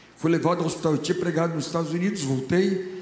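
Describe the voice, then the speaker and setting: A man speaks with a high pitch and fairly even intonation. Audible room echo and noticeable background noise surround his voice. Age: 70s. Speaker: pastor. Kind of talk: sermon. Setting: church.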